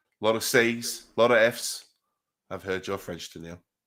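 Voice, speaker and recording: A man speaks at medium pitch and a moderate pace, bright and sharp in tone. The recording is very clean, with a silent background. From Scotland. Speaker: streamer, card opening host. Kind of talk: casual livestream chat.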